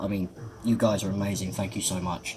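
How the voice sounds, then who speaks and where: Speaking with a British accent, a man uses a fairly low pitch and a monotone, flat intonation. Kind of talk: casual vlog. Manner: halting, many ums.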